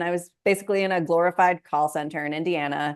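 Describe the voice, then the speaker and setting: A woman with an ordinary speaking voice, fairly low pitch, ordinary pitch variation and a moderate pace, against a quiet background. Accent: American. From US Pacific Northwest, Moses Lake, Washington. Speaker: money coach. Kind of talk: interview conversation.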